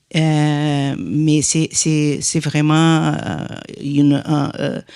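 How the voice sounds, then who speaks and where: A woman with a Portuguese accent, very deep and low in pitch, monotone and flat, at a very slow pace with very even loudness. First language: Portuguese (speaking French). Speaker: industry association director. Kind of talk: panel discussion. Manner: halting, many hesitations.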